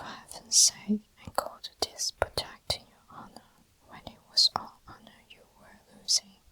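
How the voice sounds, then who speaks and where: Whispering over noticeable background noise. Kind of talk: whispered ASMR book reading for sleep. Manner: whispered, soft-spoken.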